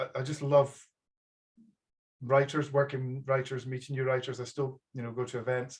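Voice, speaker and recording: A man speaks at a fairly quick pace with a strong Aberdeen accent. His voice is medium in pitch and somewhat breathy. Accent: thick Aberdonian Scottish. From Scotland, Aberdeenshire. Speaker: publisher. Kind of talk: casual chat. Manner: halting.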